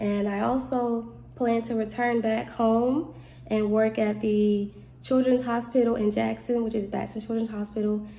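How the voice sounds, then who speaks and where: The speaker has a Southern US accent and a moderate pace. The intonation stays monotone and flat. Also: woman, fairly high pitch for a woman. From US South, Mississippi. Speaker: nursing student. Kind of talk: self-introduction video. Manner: casual, giggly. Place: home room. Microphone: phone near.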